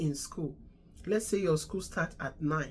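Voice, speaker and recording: A woman talks at a fairly slow pace, somewhat breathy. Her pitch is fairly low, with ordinary variation. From Nigeria. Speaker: immigration advice vlogger, registered nurse. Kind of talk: casual advice talk.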